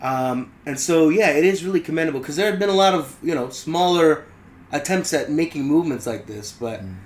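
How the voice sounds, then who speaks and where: With lively intonation and big swings in loudness, a man with a fairly high pitch talks at a fairly quick pace. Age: 20s. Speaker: podcast co-host. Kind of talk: casual chat. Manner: hesitant, many fillers.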